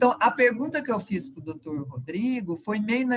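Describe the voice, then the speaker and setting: Somewhat breathy and fairly quick, a woman speaks at a fairly high pitch with very wide pitch swings. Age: 60s. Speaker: retired university professor, union member. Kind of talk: question at online union meeting.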